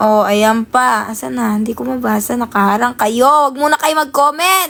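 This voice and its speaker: A woman speaks in an animated tone. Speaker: live streamer. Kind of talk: casual chat.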